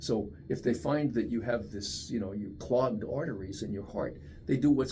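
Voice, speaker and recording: With audible room echo around him, a man speaks at a moderate pace at a medium pitch, his voice somewhat breathy with a dark, mellow tone and ordinary pitch variation. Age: 70s. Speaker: research scientist. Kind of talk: interview. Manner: conversational, with many fillers.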